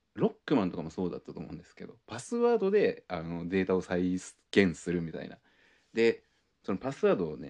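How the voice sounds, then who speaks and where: A man talking at a very fast clip. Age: 30s. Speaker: podcast host. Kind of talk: casual monologue.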